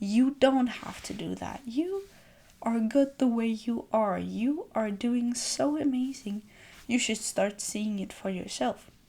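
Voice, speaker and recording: Soft-spoken and dark, mellow in tone, a woman talks at a very slow pace with a fairly high pitch and ordinary pitch variation. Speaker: self-care video creator. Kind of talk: gentle reflective monologue. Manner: calm.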